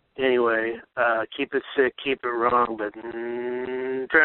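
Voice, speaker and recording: Speaking with an American accent, a man keeps a medium pitch and a fairly slow pace. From US East Coast. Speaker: listener voicemail caller. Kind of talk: voicemail message. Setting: phone call.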